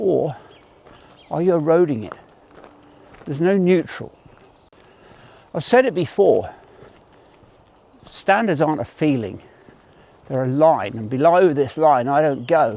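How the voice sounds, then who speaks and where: Fairly high-pitched yet dark and mellow in tone, a man speaks at a fairly slow pace with lively intonation and long, frequent pauses. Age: 60s. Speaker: army veteran. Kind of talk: motivational talk to camera while walking. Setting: outdoors.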